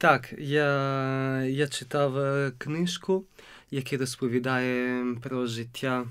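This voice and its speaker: Very slowly, a man with an Italian accent speaks with fairly even intonation over a quiet background. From Italy. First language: Italian (speaking Ukrainian). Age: 20s. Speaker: seminarian; interview guest. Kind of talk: interview; interview answer. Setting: studio. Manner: halting. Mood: warm, smiling. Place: studio. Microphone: studio mic.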